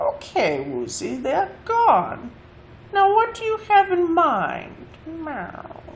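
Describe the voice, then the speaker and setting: A put-on character voice, female-sounding and extremely high-pitched, at a very slow pace over clear background noise. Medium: read story. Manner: saucy, superior, says meow.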